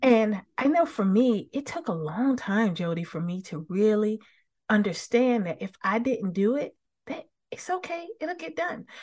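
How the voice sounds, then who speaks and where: Very wide pitch swings mark a woman's somewhat breathy speech. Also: fairly high pitch for a woman, fairly slow pace. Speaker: business coach and author. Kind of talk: interview conversation. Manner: warm, positive.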